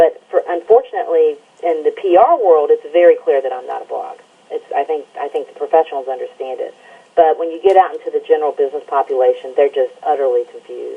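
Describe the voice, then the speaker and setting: A woman talks with an Alabama accent. Her pace is very fast. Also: big swings in loudness. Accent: Southern US (Alabama). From Alabama, US South. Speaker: environmental news site editor and radio show host. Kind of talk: interview.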